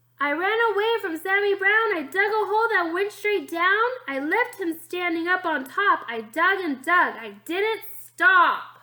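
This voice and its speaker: A woman puts on a character voice at an extremely high pitch, speaking at a moderate pace with hardly any pauses. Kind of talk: bedtime story reading. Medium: read story.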